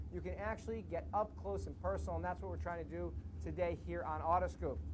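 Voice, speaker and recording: Someone with an American accent talks at a very fast clip, a little breathy, with audible room echo. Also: man, very deep, low pitch for a man. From New York. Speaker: TV show host. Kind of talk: TV interview. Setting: outdoors at a racetrack. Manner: animated.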